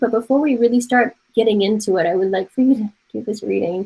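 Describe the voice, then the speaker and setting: A woman with an American accent talks at a very fast pace in a fairly high voice. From Taiwan. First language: Mandarin Chinese. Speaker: art professor. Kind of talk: online class lecture. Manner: casual.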